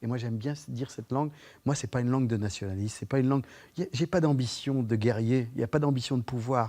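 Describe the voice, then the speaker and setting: Over a silent background in a very clean recording, a man with a medium pitch and a dark, mellow tone talks very fast with ordinary pitch variation. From France, Vendée (Poitou). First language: Poitevin patois (speaking French). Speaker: actor and storyteller. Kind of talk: TV interview. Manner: hesitant, many repetitions.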